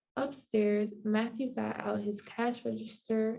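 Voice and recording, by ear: Here the text is read aloud in a natural voice.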